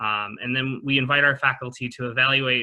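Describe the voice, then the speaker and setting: A man speaks in a flat monotone at a medium pitch and a fairly quick pace. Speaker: program staff member. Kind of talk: presentation. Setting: video call. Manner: fast; casual with many fillers.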